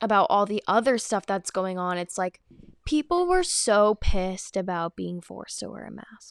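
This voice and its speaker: A woman's animated, medium-pitched voice with a dry, close sound and no echo. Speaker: podcast host. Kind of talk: casual chat. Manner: animated, chatty.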